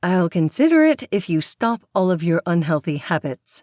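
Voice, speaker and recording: Using a put-on character voice, a woman with a fairly low pitch talks at a moderate pace and very even loudness in a very clean recording with a silent background. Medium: read story. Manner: prim, fussy, disapproving.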